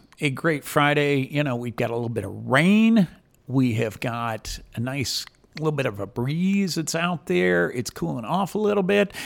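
Loud and at a fairly slow pace, a man with a fairly high pitch swings very widely up and down in pitch. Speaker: community radio host. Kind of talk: radio talk show. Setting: radio studio.

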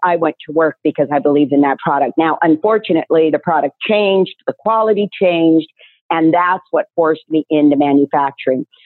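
At a fairly quick pace, this speaker uses a plain, everyday voice with ordinary pitch variation. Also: woman. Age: 60s. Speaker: nutraceutical business owner. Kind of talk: interview.

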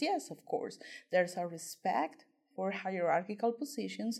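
A woman with a Spanish accent speaks in a dark, mellow tone in a very clean recording with a silent background. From Colombia. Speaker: PhD student and writing tutor. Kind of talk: interview.

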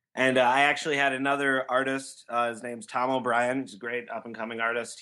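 A man's bright, sharp tone at a medium pitch, monotone and flat, fairly quick with hardly any pauses, over a quiet background. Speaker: comic creator. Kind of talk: interview.

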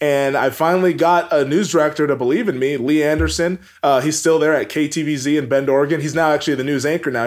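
A man with an American accent and a fairly high pitch talks at a very fast pace with hardly any pauses and ordinary pitch variation. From US Pacific Northwest, Everett, Washington. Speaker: sports broadcaster. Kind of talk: interview.

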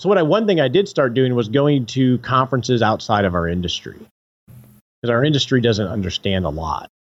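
A plain, everyday voice, this man speaks at medium pitch and a fairly quick pace with lively intonation. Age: 40s. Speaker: financial advisor and podcaster. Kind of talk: interview conversation.

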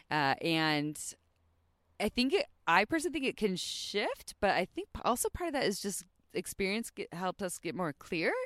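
A woman with an unremarkable speaking voice talks at a moderate pace with lively intonation. The sound is dry and close, with no echo. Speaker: sex podcast host. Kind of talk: casual chat. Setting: outdoors.

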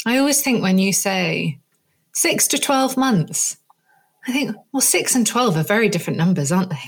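A woman with a somewhat breathy voice talks at a moderate pace, her pitch swinging very widely while her loudness stays very even. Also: medium pitch for a woman. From Jersey, Channel Islands. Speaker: podcast host, marketing agency director. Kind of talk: casual chat.

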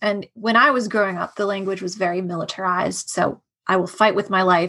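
A woman with an American accent speaks at a medium pitch and moderate pace. She has an unremarkable speaking voice. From US, Washington D.C. area. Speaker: artist and former cult member. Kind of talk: interview about life experience.

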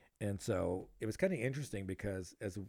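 Fairly low and dark, mellow in tone, a man's voice moves with ordinary pitch variation. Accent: American. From Los Angeles area, California. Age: 40s. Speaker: podcast host. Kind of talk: casual chat.

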